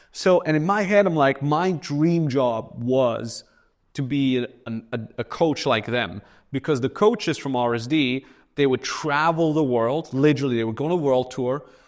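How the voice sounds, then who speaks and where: In a very clean recording with a silent background, a man with a German accent speaks at a moderate pace, his voice fairly high, his tone animated and his pitch moving in an ordinary way. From Austria. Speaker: entrepreneur. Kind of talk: casual chat. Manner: casual, animated with filler.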